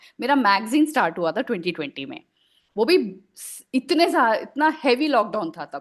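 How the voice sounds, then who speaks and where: Against a quiet background, a woman speaks at a high pitch with very wide pitch swings and big swings in loudness. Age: 40s. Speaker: writer and editor. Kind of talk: podcast interview answer.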